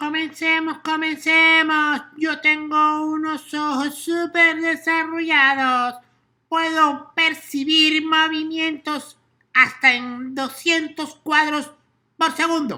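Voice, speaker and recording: A put-on character voice, high in pitch and monotone with flat intonation, at a very slow pace on a very clean recording with a silent background. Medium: read story. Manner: eager.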